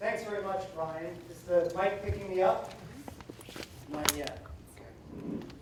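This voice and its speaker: A high-pitched man talks at a fairly slow pace with fairly even intonation, long, frequent pauses and big swings in loudness. Audible room echo and noticeable background noise surround him. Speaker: keynote speaker, consultant. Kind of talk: keynote speech.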